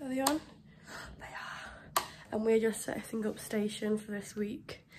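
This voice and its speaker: A woman speaks at a fairly high pitch and a fairly slow pace with fairly even intonation. There is noticeable background noise. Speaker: vlogger and theatre student performer. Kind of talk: casual vlog chat.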